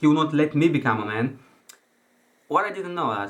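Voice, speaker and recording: In a non-native accent, a man with a fairly high voice speaks with lively intonation. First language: not English. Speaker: self-help coach. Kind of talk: motivational talk. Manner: halting.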